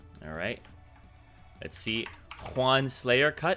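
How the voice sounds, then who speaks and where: With music in the background, a man at medium pitch talks at a fairly slow pace, his voice making very wide pitch swings. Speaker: game coach streamer. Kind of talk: live stream coaching.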